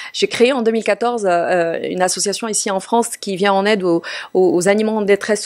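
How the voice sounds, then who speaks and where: Fairly quick speech from a woman, medium in pitch, with ordinary pitch variation. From Morocco. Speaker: TV journalist and presenter. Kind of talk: interview. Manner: hesitant, many fillers.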